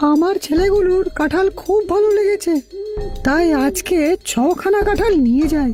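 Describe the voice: A female-sounding cartoonish character voice at an extremely high pitch speaks at a fairly slow pace over clear music in the background.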